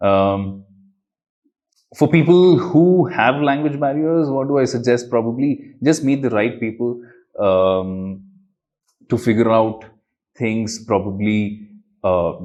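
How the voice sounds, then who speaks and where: With a South Indian accent, a man speaks at medium pitch and a very slow pace. His intonation is lively, broken by long, frequent pauses. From India, Bangalore. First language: Kannada. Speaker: magician and traveller. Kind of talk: interview. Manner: hesitant, many fillers.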